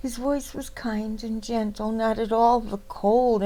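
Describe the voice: Plain reading aloud, the intonation fairly even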